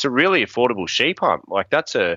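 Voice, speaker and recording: He speaks at a moderate pace with fairly high pitch for a man. His pitch swings very widely. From Australia. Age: 30s. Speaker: bowhunter and hunting outfitter. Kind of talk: casual chat. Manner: animated.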